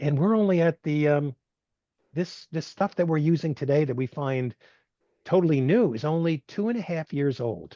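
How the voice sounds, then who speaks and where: A man's fairly high voice with a dark, mellow tone and ordinary pitch variation, in a dry, close sound with no echo over a quiet background. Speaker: technology institute executive director, speaker. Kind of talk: webinar Q&A. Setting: video call. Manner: fast.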